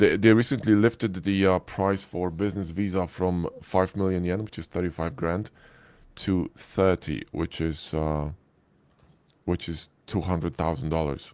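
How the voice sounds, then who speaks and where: A man with a Polish accent, very deep, low pitch, ordinary pitch variation and a fairly slow pace, on a very clean recording with a silent background. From Poland. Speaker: 3D modeling instructor. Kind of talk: live stream Q&A.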